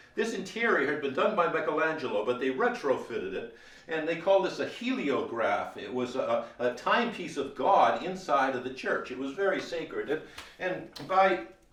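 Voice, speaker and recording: Over noticeable background noise, a man's high-pitched voice swings very widely in pitch. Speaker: museum curator. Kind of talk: museum tour guide talk. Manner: fast-talking.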